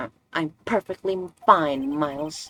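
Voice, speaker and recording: A put-on, shaky character voice at a middle pitch moves at a fairly slow pace. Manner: trembling, trying to stay composed.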